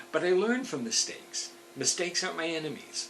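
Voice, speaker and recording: Lively in intonation, a man speaks at a moderate pace with audible room echo and noticeable background noise. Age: 70s. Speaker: motivational speaker. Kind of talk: motivational talk.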